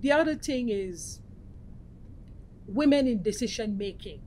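The voice has a dark, mellow tone and a moderate pace. Light background noise sits underneath. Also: woman. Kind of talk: interview answer. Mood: earnest, measured. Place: meeting room. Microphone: lapel.

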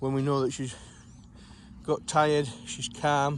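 A man's monotone, flat delivery at a moderate pace, dry with no echo, over light background noise. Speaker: sheepdog trainer. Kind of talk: explanatory commentary while working. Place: farm. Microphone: phone near.

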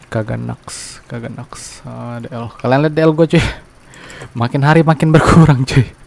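Noticeable background noise surrounds a man who speaks at a moderate speed. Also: medium pitch for a man, ordinary pitch variation. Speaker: gaming youtuber. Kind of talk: game tutorial commentary. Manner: loud.

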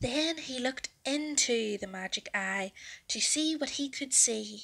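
Slowly and with lively intonation, a woman talks at a fairly high pitch in a bright, sharp tone with vocal fry.

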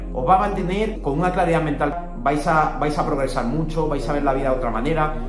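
Over clear music in the background, a man speaks at a fairly quick pace. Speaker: self-improvement content creator. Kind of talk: casual talk to camera. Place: home room. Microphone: phone near.

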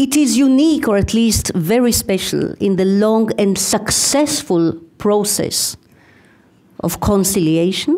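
In an Israeli accent, a woman with a dark, mellow tone speaks at a fairly slow pace and medium pitch, her intonation lively and her loudness very even. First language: Hebrew. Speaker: university professor, conference speaker. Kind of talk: academic lecture.

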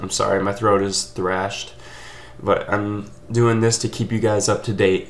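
A man's fairly low voice sounds strained and hoarse, with fairly even intonation at a fairly slow pace. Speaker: vlogger. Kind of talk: casual vlog chat. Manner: hoarse, strained sore throat. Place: home room. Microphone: webcam.

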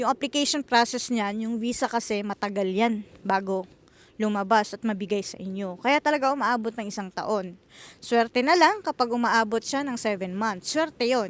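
A woman with a normal speaking voice and a fairly high pitch talks at a moderate pace, using ordinary pitch variation. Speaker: vlogger and housekeeper in Japan. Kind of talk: casual vlog monologue.

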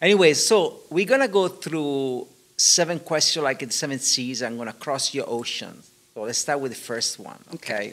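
A man with a non-native accent, lively intonation and big swings in loudness. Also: moderate pace. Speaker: interviewer. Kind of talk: reading aloud; interview. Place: hall. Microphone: studio mic.

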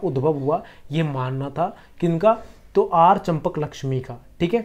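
A dark, mellow tone colors the voice of the man speaking. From Bihar, India (Patna). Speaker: history tutor. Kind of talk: online exam-prep lecture. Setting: home recording for YouTube. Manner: explanatory with frequent repetition.

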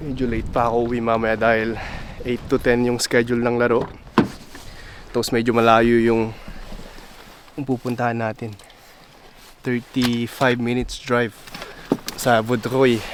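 Pausing long and often at a fairly slow pace, a man speaks with a medium pitch and monotone, flat intonation over noticeable background noise. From Philippines, Tumauini area (Isabela). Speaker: vlogger. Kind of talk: casual vlog narration.

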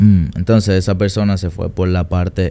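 With a dark, mellow tone, a man speaks in a very deep, low voice and a monotone, flat intonation. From Dominican Republic. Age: 20s. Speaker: trader and trading mentor; podcast guest. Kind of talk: interview. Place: studio. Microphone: studio mic.

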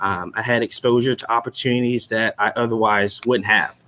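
A man's bright, sharp voice at a medium pitch, with an American accent and fairly even intonation. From Chicago. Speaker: loan officer, board member. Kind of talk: personal testimony. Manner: hesitant, many fillers. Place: office. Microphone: webcam.

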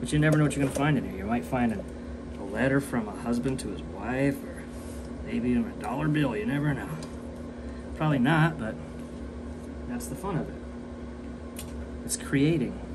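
A man with an American accent speaks at a moderate pace, leaving long, frequent pauses. Noticeable background noise runs underneath. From US, Welsh heritage. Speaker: artist and video creator. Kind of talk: casual vlog narration while working. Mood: relaxed, joking. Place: workshop. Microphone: phone near.

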